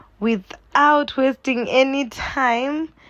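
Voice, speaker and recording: Animated in tone, a woman with a Zimbabwean accent talks with ordinary pitch variation. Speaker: cooking vlogger. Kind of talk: casual cooking tutorial. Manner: chatty, animated.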